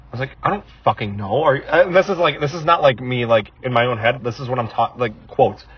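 With hardly any pauses, a man with an American accent talks very fast at a medium pitch over noticeable background noise. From United States. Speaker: podcast co-host. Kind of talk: casual chat.

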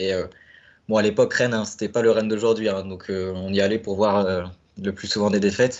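A man's fairly low, monotone voice at a fairly quick pace. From Normandy, France (Caen). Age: 20s. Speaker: football fan, supporter-group founder. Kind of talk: casual chat. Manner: hesitant, many fillers.

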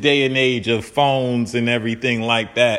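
A man talks at a moderate pace as noticeable background noise runs underneath. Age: 20s. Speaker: podcast host. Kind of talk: solo commentary monologue. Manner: casual, conversational with fillers.

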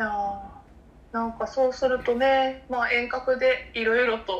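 Her pace is moderate. The woman keeps a fairly even intonation. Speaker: coffee company podcast co-host. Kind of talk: casual chat. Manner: soft, gentle and soothing.

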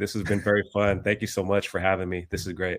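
A man speaks at a very fast pace in a fairly low pitch. The recording is very clean, with a silent background. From US West Coast, San Francisco Bay Area (born in the Philippines, moved young). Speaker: online trading card seller and vlogger. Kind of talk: casual interview chat.

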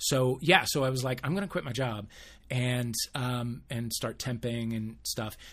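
In an American accent, a man with a plain, everyday voice talks at a medium pitch and a fairly slow pace, with ordinary pitch variation. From US Midwest, St. Louis area. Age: 50s. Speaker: podcast co-host. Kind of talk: casual chat.

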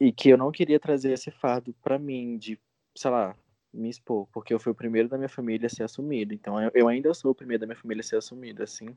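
Very fast speech from a man with a dark, mellow tone comes through in a dry, close sound with no echo. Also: medium pitch for a man. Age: 20s. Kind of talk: interview testimony. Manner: halting.

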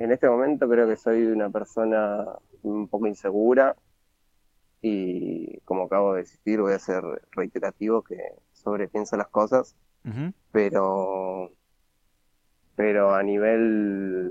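Fairly low male voice at a very slow pace, with fairly even intonation, long, frequent pauses and a dry, close sound with no echo. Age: 20s. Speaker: interview guest. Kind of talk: casual interview. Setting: at home during lockdown.

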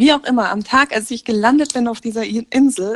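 Recorded with a dry, close sound and no echo, a woman speaks at a fairly high pitch with ordinary pitch variation. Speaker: podcast co-host. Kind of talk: casual chat. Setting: remote call from a caravan. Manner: animated, laughing often. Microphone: muffled, recording under a blanket.

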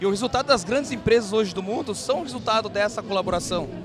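A man's high-pitched voice at a very fast pace, with lively intonation and noticeable background noise. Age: 30s. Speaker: event co-founder. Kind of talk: casual interview. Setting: live event.

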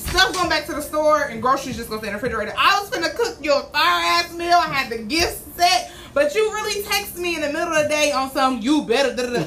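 A raised, projected voice races at a very fast pace with hardly any pauses and very wide pitch swings. Noticeable background noise and audible room echo fill the recording. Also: woman, high pitch for a woman. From Baltimore. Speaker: podcast co-host. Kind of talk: casual chat.

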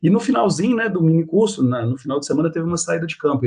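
The speech goes at a very fast pace. Its intonation is lively. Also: man. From Minas Gerais, Brazil (Belo Horizonte). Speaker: biology professor. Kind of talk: interview.

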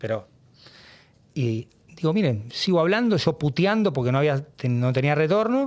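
Recorded very cleanly against a silent background, a man with a fairly high pitch speaks at a moderate pace. His pitch swings very widely, and he takes long, frequent pauses. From Argentina, Buenos Aires. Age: 50s. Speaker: sports journalist. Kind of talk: casual interview.

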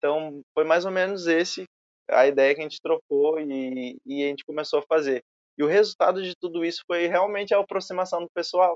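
His is an ordinary speaking voice, with ordinary pitch variation. The man keeps up a fairly quick pace. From southern Brazil, Rio Grande do Sul (Alvorada). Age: 20s. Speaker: filmmaker and photographer. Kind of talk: casual interview chat.

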